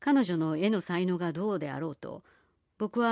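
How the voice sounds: The clip features a natural reading voice. Behind it, the background stays quiet.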